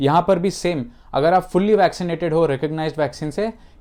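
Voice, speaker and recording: Over a quiet background, a man with a fairly high pitch speaks at a moderate pace using ordinary pitch variation. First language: not Hindi (speaking Hindi). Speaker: YouTuber giving immigration and travel updates. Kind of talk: informational vlog. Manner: hesitant, with self-corrections.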